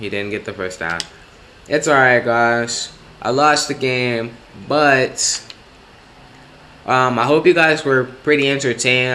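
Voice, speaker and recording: There is noticeable background noise behind a man speaking at a medium pitch. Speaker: gaming youtuber. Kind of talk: gameplay commentary. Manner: halting; animated.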